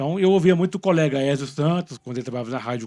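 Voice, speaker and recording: Dry, close sound with no echo carries a man's dark, mellow tone. He talks at a very fast pace with ordinary pitch variation. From Minas Gerais, Brazil. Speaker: podcast host. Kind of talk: interview.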